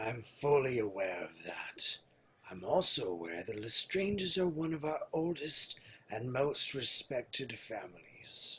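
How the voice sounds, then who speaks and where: In a put-on character voice, a man speaks at a fairly slow pace with a medium pitch. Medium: audio drama. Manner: formal, authoritative.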